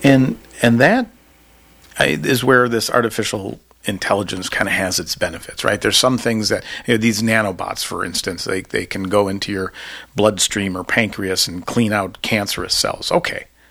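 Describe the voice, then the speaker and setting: A man talks at a moderate pace in a fairly low voice with ordinary pitch variation. Background noise is noticeable. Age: 50s. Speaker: podcast host and political science professor. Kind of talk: academic interview.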